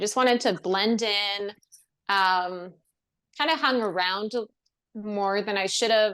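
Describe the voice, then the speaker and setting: A woman speaks with ordinary pitch variation on a very clean recording with a silent background. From Ontario, Canada. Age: 30s. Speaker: actress and screenwriter. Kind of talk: podcast interview. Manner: casual, many fillers; animated.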